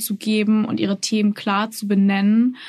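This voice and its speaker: A woman speaks at a fairly slow pace in a somewhat breathy, medium-pitched voice with monotone, flat intonation. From Austria, Salzburg. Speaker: journalist. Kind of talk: interview.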